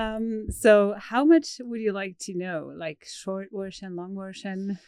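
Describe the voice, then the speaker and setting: Talking at a very slow pace with a Swiss German accent, a woman keeps a medium pitch and ordinary pitch variation while her loudness swings a lot. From Switzerland. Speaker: horse trainer. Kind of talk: podcast interview. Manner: hesitant, with fillers.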